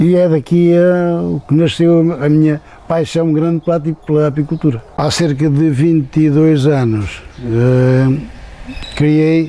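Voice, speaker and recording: A very slow, very evenly loud delivery from a man with a fairly high pitch. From central Portugal, rural. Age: 70s. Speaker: beekeeper. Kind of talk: interview testimony. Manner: halting, with fillers and repetitions.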